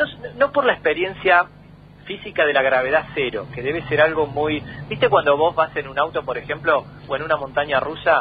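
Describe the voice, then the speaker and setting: This man talks at a fairly quick pace in a normal speaking voice, his pitch fairly high and his intonation fairly even. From Argentina, Tandil (Buenos Aires province). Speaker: astronomer. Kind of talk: radio interview. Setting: phone call.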